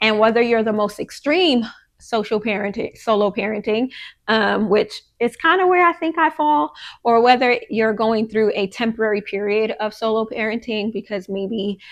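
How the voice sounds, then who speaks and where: A woman with an American accent and a plain, everyday voice, fairly high in pitch with ordinary variation, at a moderate pace against a quiet background. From Queens, New York. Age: 30s. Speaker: podcast host. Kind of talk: casual monologue. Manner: conversational, many fillers.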